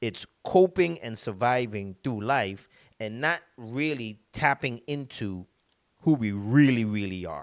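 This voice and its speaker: The speaker talks with a Caribbean accent and lively intonation. The recording is very clean, with a silent background. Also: man. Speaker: motivational speaker. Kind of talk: motivational talk. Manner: halting, many repetitions.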